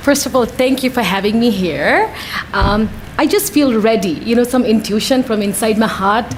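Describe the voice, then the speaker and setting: At a moderate pace with ordinary pitch variation and very even loudness, the voice comes through noticeable background noise. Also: woman, fairly high pitch for a woman. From Nepal. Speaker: commission applicant, business owner. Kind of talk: interview answer.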